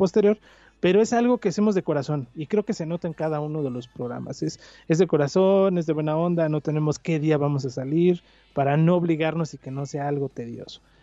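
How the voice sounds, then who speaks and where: A man with a fairly high pitch and a dark, mellow tone, at a fairly quick pace, in a dry, close sound with no echo against a quiet background. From Mexico City. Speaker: podcaster. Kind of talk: casual chat.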